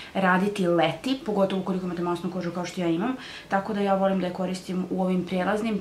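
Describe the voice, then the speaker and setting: Over light background noise and with audible room echo, a woman speaks very fast with fairly even intonation. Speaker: beauty vlogger. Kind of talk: product review vlog chat. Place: home room. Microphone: camera far.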